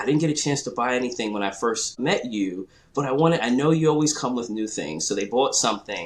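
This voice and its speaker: Medium-pitched male voice with a slight New York accent and lively intonation, over noticeable background noise. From New York, Queens. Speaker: clothing brand founder. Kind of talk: interview. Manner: repeats words, halting.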